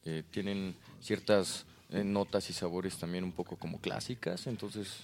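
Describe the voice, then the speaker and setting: Heard on a very clean recording with a silent background, a man with a Mexican accent and a very deep, low pitch speaks at a fairly slow pace with fairly even intonation. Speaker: podcast guest. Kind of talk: casual chat.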